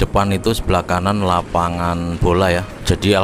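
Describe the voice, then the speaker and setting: A man talks in a very deep, low voice with a monotone, flat delivery. Music plays behind him, and the sound is dry with no echo. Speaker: motovlogger. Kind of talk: casual vlog commentary. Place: motorbike.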